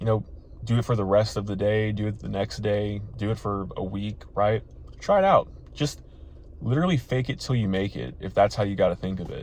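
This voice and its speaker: A man talks at a fairly quick pace in an animated tone. His voice is somewhat breathy, with ordinary pitch variation. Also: fairly low pitch for a man. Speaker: dating advice youtuber. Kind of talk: motivational vlog talk. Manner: occasional stutter; casual, animated.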